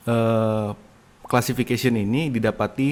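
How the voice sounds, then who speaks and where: A man speaks with an Indonesian accent. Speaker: university lecturer. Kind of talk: lecture. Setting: recorded online lecture from home. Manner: hesitant, with fillers.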